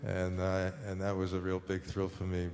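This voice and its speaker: A man with a New York accent, fairly low pitch and a fairly slow pace, plus audible room echo. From New York City, Harlem. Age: 70s. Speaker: painter. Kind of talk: onstage conversation. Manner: halting, many fillers.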